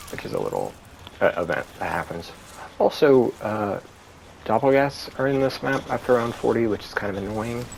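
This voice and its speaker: Over noticeable background noise, a man of medium pitch speaks at a moderate pace with ordinary pitch variation and big swings in loudness. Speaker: gaming streamer. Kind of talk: gameplay commentary. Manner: casual with many fillers.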